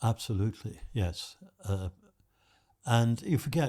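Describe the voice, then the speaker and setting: Speaking at a fairly slow pace with a British accent, a man with a fairly low pitch and a dark, mellow tone sounds somewhat breathy, his intonation lively. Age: 90s. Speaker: retired psychology professor. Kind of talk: podcast interview answer. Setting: studio.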